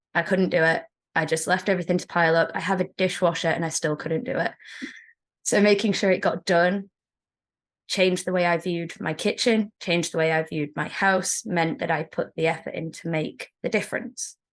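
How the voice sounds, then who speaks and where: Speaking fairly quickly against a quiet background, a woman with an English accent uses a fairly low pitch and ordinary pitch variation. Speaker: secondary school teacher. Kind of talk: interview.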